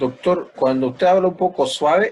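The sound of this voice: A man speaks fairly high with a slightly mellow tone. He goes fairly slowly, with ordinary pitch variation.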